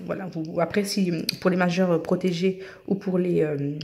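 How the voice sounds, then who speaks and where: Fairly slow and fairly even in intonation, a woman speaks at a medium pitch. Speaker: YouTuber giving paperwork help. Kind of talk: tutorial. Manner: casual, hesitant with fillers.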